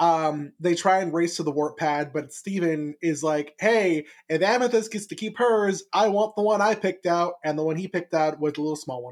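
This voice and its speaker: Ordinary pitch variation with hardly any pauses. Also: man, high pitch for a man. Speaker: podcast host. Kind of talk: casual chat. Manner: fast.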